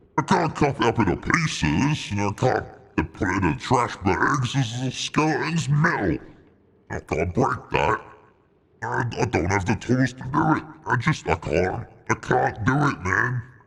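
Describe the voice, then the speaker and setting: Putting on a character voice, a man speaks at a moderate pace in a medium pitch with very wide pitch swings. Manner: funny put-on voice.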